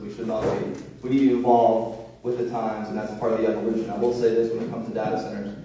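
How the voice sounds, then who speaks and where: The pace is very fast. Noticeable background noise and audible room echo surround the voice. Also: man. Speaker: political candidate, state legislator and attorney. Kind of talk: candidate forum debate. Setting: church hall event with audience, on microphone. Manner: loud; animated.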